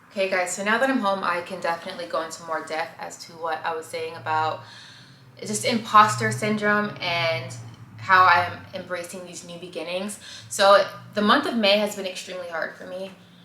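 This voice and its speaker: A woman talks at a fairly quick pace and medium pitch with lively intonation and big swings in loudness. There is audible room echo. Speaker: vlogger. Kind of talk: casual vlog monologue. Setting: at home. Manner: halting, stammering.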